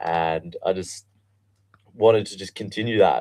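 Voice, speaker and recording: A man's flat, monotone delivery in an Australian accent. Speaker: guest. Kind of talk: interview. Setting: studio.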